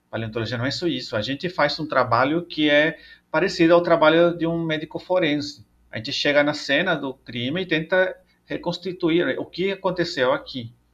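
A man's fairly high voice, ordinary pitch variation, a moderate pace and a quiet background. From El Salvador. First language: Spanish (speaking Portuguese). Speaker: paleontologist and professor. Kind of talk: interview. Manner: halting, many fillers.

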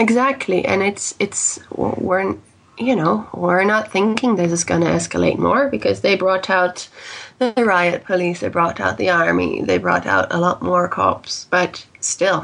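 A woman at a fairly slow pace, her loudness very even. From Netherlands and Canada, raised as an expat child. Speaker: life and career coach. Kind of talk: interview.

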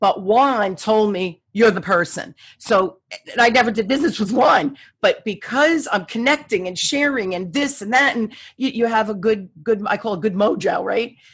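Her voice somewhat breathy and fairly high, a woman speaks at a moderate pace with lively intonation. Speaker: sales coach and author. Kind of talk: interview. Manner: animated.

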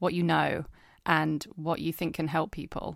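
A woman with a fairly low pitch speaks in a monotone, flat intonation at a moderate pace. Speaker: podcast host. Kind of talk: casual interview chat. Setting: remote recording, no video.

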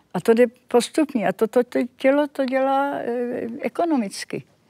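A woman's high-pitched voice with a dark, mellow tone, a fairly slow pace, and a dry, close sound with no echo on a very clean recording with a silent background. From Czechoslovakia. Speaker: Holocaust survivor. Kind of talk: interview testimony. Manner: halting.

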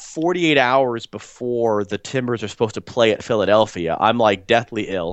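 A man talks in a normal speaking voice at medium pitch. His pace is moderate and his intonation lively. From US. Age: 30s. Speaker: soccer play-by-play broadcaster. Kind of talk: interview.

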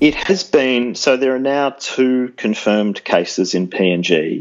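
The speaker has an Australian accent and talks at a very slow pace. Pitch varies in an ordinary way. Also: man. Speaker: policy researcher, former journalist. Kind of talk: interview.

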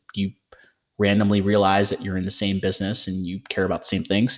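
Recorded very cleanly against a silent background, a man with an American accent and a plain, everyday voice talks at a fairly quick pace and a fairly low pitch. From US Midwest, Michigan. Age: 30s. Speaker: venture capitalist and physician. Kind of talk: interview.

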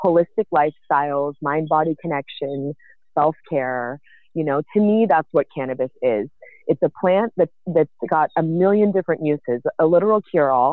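A woman's very deep, low voice in a Californian accent, with ordinary pitch variation and a moderate pace. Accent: Californian American. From San Francisco Bay Area, US. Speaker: cannabis entrepreneur. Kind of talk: casual interview chat.

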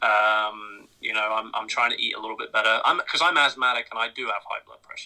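A man with an English accent talks at a very fast pace with hardly any pauses. His loudness swings widely. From England. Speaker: podcast guest. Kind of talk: casual chat.

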